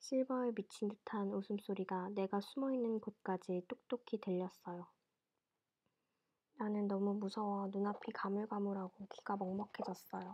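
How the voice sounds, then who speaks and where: With a plain, everyday voice, a woman speaks at a medium pitch and moderate pace. Her intonation is fairly even and her loudness very even. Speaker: ASMR storyteller reading books aloud. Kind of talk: audiobook-style reading of a classic novel, ASMR. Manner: soothing, sleep-inducing.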